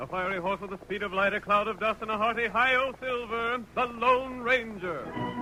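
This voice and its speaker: Over music in the background, a man with a high pitch uses a raised, projected voice at a moderate pace, with ordinary pitch variation and hardly any pauses. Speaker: radio announcer. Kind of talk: old-time radio drama narration.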